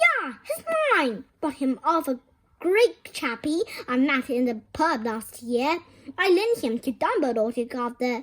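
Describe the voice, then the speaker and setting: A woman's put-on character voice, high-pitched and gruff, with lively intonation at a fairly slow pace. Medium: read story.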